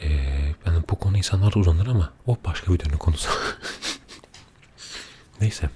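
Soft-spoken and calm, a man speaks at a very deep, low pitch and a fairly quick pace with fairly even intonation. The sound is dry and close, with no echo. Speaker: ASMR creator. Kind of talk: casual talk to camera, ASMR chat. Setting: studio microphone, binaural. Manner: soft-spoken, calm.

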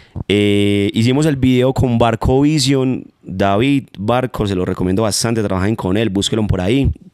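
A man's fairly low voice at a moderate pace with ordinary pitch variation, dry with no echo, over a quiet background. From Manizales, Colombia; Colombia. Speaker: urban music artist; guest. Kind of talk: interview. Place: home room. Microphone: handheld.

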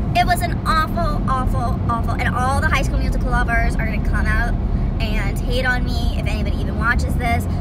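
Against loud background noise, a woman talks at a fairly quick pace. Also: dry sound with no echo. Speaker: vlogger. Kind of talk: casual rant to camera. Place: car. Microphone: phone near.

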